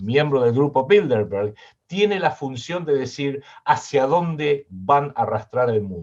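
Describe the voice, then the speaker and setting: A man with a Rioplatense accent, lively intonation and a fairly slow pace. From Argentina. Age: 60s. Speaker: political analyst and writer. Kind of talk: interview.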